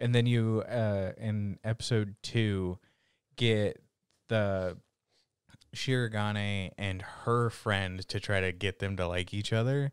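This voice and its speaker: In a very clean recording with a silent background, a man with a fairly low voice talks very slowly with fairly even intonation. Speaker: anime podcast co-host. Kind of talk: casual chat.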